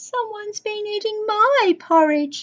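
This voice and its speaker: A loud, gruff, put-on character voice with an extremely high pitch moves at a fairly slow pace. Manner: indignant.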